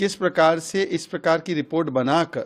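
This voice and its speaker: A man with a high pitch is heard in a very clean recording with a silent background. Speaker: political party spokesperson. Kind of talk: political statement to press.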